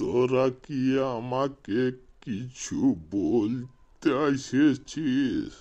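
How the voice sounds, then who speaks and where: Using a cartoonish character voice, a man speaks at medium pitch with fairly even intonation. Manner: mishears and answers off-topic.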